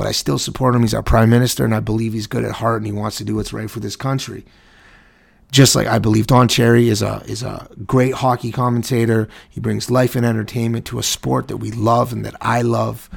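A man with a medium pitch talks fairly quickly, keeping his intonation fairly even. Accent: Canadian. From Canada. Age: 30s. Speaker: podcast host. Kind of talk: opinion rant. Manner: halting, many fillers.

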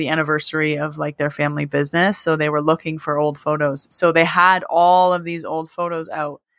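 In a very clean recording with a silent background, a woman speaks at a moderate pace in a plain, everyday voice with a fairly low pitch. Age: 30s. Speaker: podcast host and Reiki teacher. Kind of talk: casual chat.

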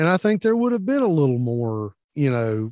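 Spoken with a Southern US accent, the voice sounds dry and close with no echo against a quiet background. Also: man. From US South. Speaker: podcast co-host, veteran. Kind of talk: casual chat.

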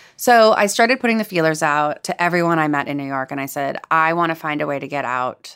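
In a very clean recording with a silent background, a voice with a Californian accent goes at a very fast pace with ordinary pitch variation. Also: woman. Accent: Californian American. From Los Angeles, US. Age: 30s. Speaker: chef and food writer. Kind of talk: interview conversation.

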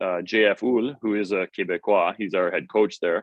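Fairly slow and fairly low in pitch, a man with an American accent talks in an ordinary speaking voice. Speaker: strength coach. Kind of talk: casual interview chat.

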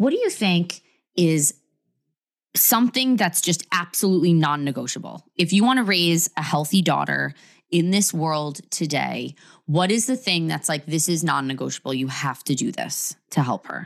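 A woman with a fairly low pitch and vocal fry speaks at a moderate pace, animated and with lively intonation. The recording is very clean and the background silent. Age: 30s. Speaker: podcast host. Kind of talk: casual interview.

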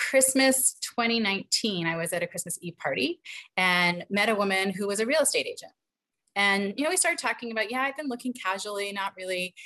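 In an American accent, a woman talks at a fairly quick pace with lively intonation and a bright, sharp tone. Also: quiet background. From New York, Rockland County. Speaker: speech therapist and coach. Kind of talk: casual chat.

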